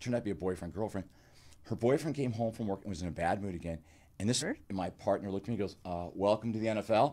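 This man has a fairly low pitch and a dark, mellow tone. He talks at a very fast pace with ordinary pitch variation. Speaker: clinical psychologist and author. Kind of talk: interview. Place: studio. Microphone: studio mic.

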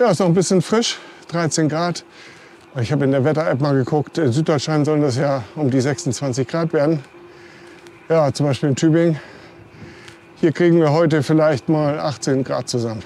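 A man at a moderate pace with long, frequent pauses, light background noise, and a dry sound with no echo. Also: ordinary pitch variation. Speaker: cycling vlogger. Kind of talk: casual vlog chat. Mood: cheerful, relaxed. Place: bicycle. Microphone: lapel.

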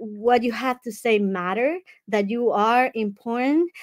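Over a quiet background, the speaker talks at a moderate pace in a Dominican accent with ordinary pitch variation. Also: woman. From Dominican Republic. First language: Spanish. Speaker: life coach and summit speaker; speaker, coach, guest. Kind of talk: online summit talk. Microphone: earbuds.

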